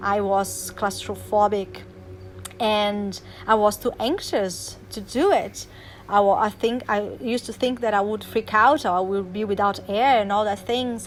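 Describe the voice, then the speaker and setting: The speaker talks at a fairly slow pace with a non-native accent. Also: woman. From Brazil. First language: Portuguese. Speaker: life coach. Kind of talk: motivational talk. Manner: animated; halting.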